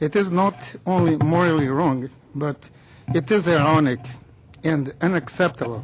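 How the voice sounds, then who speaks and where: A man speaks at a fairly high pitch and moderate pace, with ordinary pitch variation and long, frequent pauses. Noticeable background noise is present. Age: 60s. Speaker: cancer patient advocate. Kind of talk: prepared public statement. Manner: formal.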